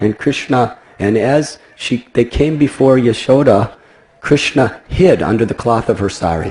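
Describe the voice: Ordinary rises and falls in pitch during plain reading aloud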